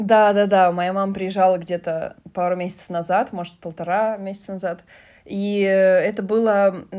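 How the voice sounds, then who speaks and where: A woman's dark, mellow voice at a moderate pace, in a monotone with flat intonation. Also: medium pitch for a woman. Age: 30s. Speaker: podcast host. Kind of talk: casual chat.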